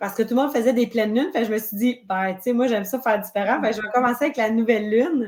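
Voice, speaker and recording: The speaker talks in a Quebec accent. The pitch variation is ordinary. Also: woman. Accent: Québécois French. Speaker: witch and spiritual circle leader. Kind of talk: interview. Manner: hesitant.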